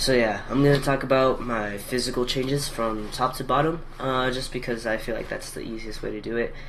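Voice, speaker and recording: Noticeable background noise and audible room echo around fairly quick speech with fairly even intonation. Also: man, medium pitch for a man. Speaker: video blogger documenting gender transition. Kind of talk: casual vlog. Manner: hesitant, many fillers.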